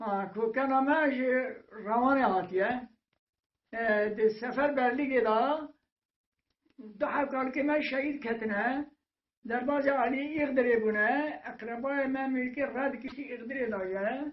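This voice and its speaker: Very slowly, a man speaks with an extremely high pitch and ordinary pitch variation. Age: 80s+. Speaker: village elder. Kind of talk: oral history. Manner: halting, with many hesitations.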